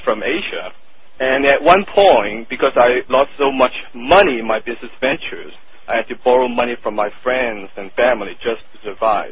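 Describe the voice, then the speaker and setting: The speaker has a strong Hong Kong accent and lively intonation at a moderate pace. Noticeable background noise can be heard. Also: man. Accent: thick Hong Kong Chinese. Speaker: marketing copywriter. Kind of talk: interview. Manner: blunt, direct.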